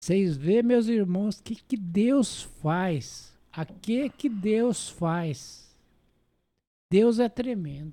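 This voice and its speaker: A man's high voice with lively intonation at a very slow pace. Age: 80s+. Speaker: church elder. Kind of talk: testimony.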